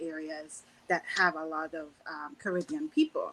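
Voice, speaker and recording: Speaking in a Trinidadian accent, a woman uses lively intonation. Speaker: panelist. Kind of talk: panel discussion.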